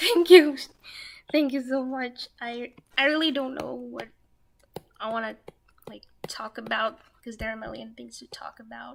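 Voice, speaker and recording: The voice is quiet and moves at a moderate pace, broken by long, frequent pauses. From India. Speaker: streamer drawing live. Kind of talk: casual live stream chat while drawing. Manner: quiet at first.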